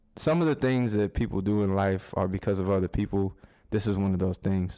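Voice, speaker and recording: In a very clean recording with a silent background, a man with an American accent talks at a very fast pace, his fairly low voice having a dark, mellow tone. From Arizona. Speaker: poet and writer. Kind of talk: casual interview. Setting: at the host's house.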